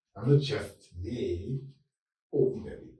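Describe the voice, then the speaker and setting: A man's dark, mellow tone at a fairly slow pace, with audible room echo. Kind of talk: interview chat. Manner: loud.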